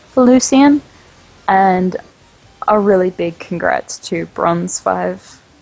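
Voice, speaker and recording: Noticeable background noise sits behind a woman's speaking voice. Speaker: esports caster. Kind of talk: live commentary.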